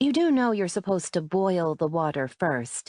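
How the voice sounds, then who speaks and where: Putting on a character voice, a woman at a medium pitch makes very wide pitch swings while keeping a moderate pace. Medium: read story.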